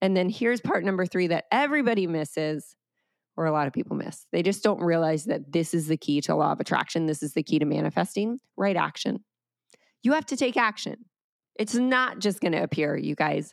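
Speaking at a fairly quick pace, a woman with an American accent has a fairly low pitch, lively intonation and an animated, upbeat tone, recorded very cleanly against a silent background with a dry, close sound and no echo. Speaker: podcast host and wellness coach. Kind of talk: solo podcast monologue, motivational talk. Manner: animated, upbeat, chatty.

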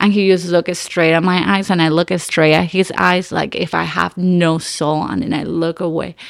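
A woman speaks with a Nicaraguan accent in a fairly low voice with fairly even intonation. The recording is very clean, with a silent background. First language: Spanish. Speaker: actress. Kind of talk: casual chat. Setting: studio.

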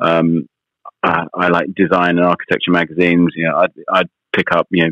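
A man with a British accent speaks at a fairly quick pace in a very deep, low pitch. His intonation is monotone and flat. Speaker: magazine editor and radio presenter. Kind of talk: interview. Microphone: slight line delay.

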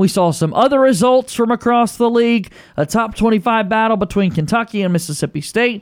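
Energetic in tone, a man talks at a fairly quick pace and high pitch, with ordinary pitch variation, very even loudness, and hardly any pauses. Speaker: radio host. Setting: studio. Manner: energetic, smooth, rapid-fire broadcaster delivery.

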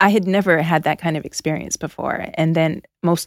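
In a very clean recording with a silent background, a woman with a Canadian accent speaks at a moderate pace in a plain, everyday voice, the sound dry and close with no echo. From Canada. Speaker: author. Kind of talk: interview conversation. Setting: studio.

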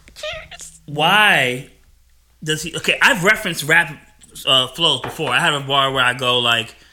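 With a slight New Jersey accent, a man speaks at a fairly slow pace. His pitch is fairly high, with ordinary variation. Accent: American English, little New Jersey. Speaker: podcast host. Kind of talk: casual chat.

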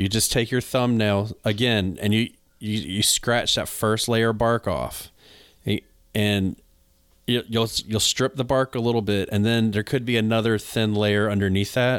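A man's plain, everyday voice with an American accent, medium pitch, fairly even intonation and fairly slow pace, on a very clean recording with a silent background. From North Carolina. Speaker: podcast host and gardener. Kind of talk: casual chat, podcast.

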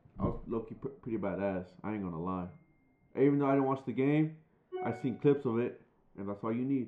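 The speaker has an American accent and talks at a very fast pace, yet leaves long, frequent pauses. Music plays in the background. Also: man, medium pitch for a man, ordinary pitch variation. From San Diego, California. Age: 20s. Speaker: podcast co-host. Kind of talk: casual chat.

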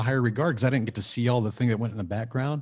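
Against a quiet background, a man with an American accent speaks at medium pitch in a somewhat breathy voice. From Texas, Houston suburbs. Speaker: author and entrepreneur. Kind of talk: interview.

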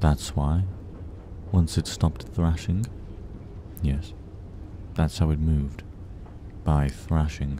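At a very slow pace with long, frequent pauses, a man speaks at a very deep, low pitch and very even loudness over noticeable background noise. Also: ordinary pitch variation. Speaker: podcast storyteller reading creepypastas. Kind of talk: horror story narration, reading aloud.

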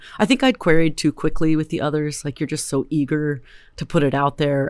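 A woman speaks with a Californian accent and a very deep, low pitch. The recording is very clean, with a silent background. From US West Coast, Berkeley, California. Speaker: novelist. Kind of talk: interview.

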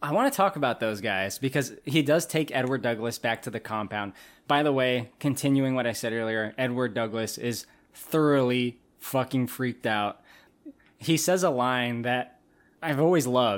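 On a very clean recording with a silent background, a man in a normal speaking voice talks at a moderate pace and medium pitch with ordinary pitch variation. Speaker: podcast host. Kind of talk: casual comedic banter about a movie.

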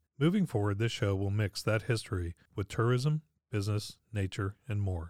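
Recorded very cleanly against a silent background, a man with a fairly low pitch talks at a fairly quick pace in a plain, everyday voice. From Pittsburgh, Pennsylvania. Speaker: podcast host. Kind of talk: scripted narration.

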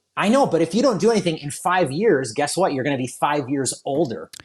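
A man speaks with an American accent and lively intonation. He has a plain, everyday voice. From southeastern Michigan, US. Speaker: wedding photographer. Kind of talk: casual chat.

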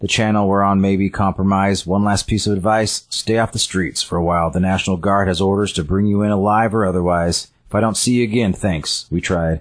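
Speaking fairly quickly, a man uses an ordinary speaking voice with fairly low pitch. His loudness stays very even. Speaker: podcast co-host. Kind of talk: casual chat.

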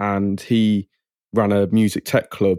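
A man speaks with an English accent at a fairly low pitch, his tone dark and mellow. His intonation is monotone and flat, in a dry, close sound with no echo. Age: 20s. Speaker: music producer. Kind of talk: interview.

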